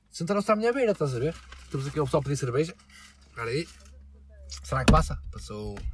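A man at a very fast pace with a European Portuguese accent and long, frequent pauses. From Portugal. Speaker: podcast host. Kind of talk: casual chat.

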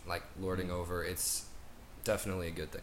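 A man's very deep, low-pitched voice at a fairly quick pace, with audible room echo. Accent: American. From US South. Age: young. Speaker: college student. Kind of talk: interview. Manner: halting.

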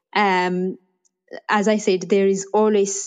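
A woman's medium-pitched voice, monotone and flat in intonation, against a quiet background. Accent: Ethiopian. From Ethiopia, Bahir Dar. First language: Amharic. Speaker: AI researcher. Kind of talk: interview. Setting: online audio room.

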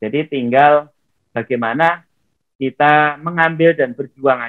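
A man talks in a plain, everyday voice with ordinary pitch variation. His pace is fairly slow. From Riau, Indonesia. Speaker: former honorary teacher turned network-marketing businessman. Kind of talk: interview.

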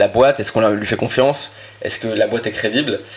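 Medium-pitched male voice at a moderate pace, with noticeable background noise. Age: 20s. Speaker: entrepreneur and ghostwriter. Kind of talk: interview. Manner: hesitant, many fillers and repetitions.

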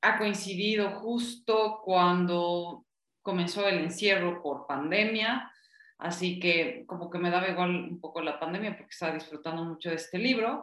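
A woman's fairly low voice, a normal speaking voice, at a fairly slow pace with ordinary pitch variation and big swings in loudness. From Bolivia. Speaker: book club panelist. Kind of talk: casual book discussion.

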